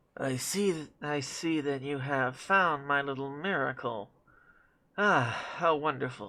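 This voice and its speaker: A quiet, nasal put-on character voice, low-to-middle in pitch, at a fairly slow pace. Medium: actual play. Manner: ingratiating, polite.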